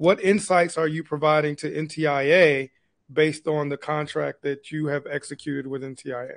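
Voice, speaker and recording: A man speaks at a fairly slow pace with fairly even intonation against a quiet background. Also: fairly high pitch for a man, dry sound with no echo. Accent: American. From Michigan. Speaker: webinar host, broadband executive; webinar host. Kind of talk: webinar interview. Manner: halting. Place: office. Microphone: video call.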